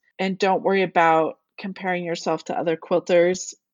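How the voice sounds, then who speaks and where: Here a woman speaks in a plain, everyday voice at medium pitch. Her pace is moderate. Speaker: quilt designer and author. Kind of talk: casual interview.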